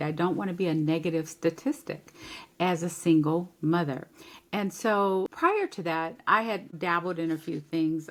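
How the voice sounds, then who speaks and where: She has a plain, everyday voice, fairly low in pitch. A woman talks at a moderate pace with ordinary pitch variation. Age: 60s. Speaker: life coach and event planner. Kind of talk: podcast interview.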